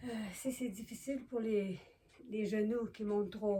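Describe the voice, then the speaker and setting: A woman's fairly high pitch with a dark, mellow tone and fairly even intonation. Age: 70s. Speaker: yoga demonstrator. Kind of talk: tutorial. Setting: living room at home. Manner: slow; halting.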